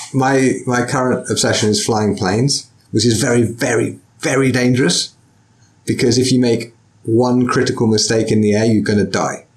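At a moderate pace, a man of medium pitch speaks with fairly even intonation, very even loudness and a somewhat breathy quality. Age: 40s. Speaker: podcast host and sword teacher. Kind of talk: casual interview.

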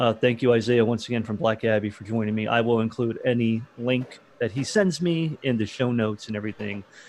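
A man with an American accent and an unremarkable speaking voice, medium in pitch, at a fairly quick pace with fairly even intonation. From Florida. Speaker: podcast host, beverage distributor employee. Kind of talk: casual interview.

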